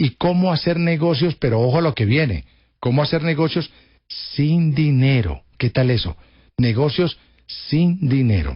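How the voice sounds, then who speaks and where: At a fairly slow pace, a man with a fairly high, somewhat breathy voice keeps very even loudness and ordinary pitch variation. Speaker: radio host. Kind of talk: radio interview.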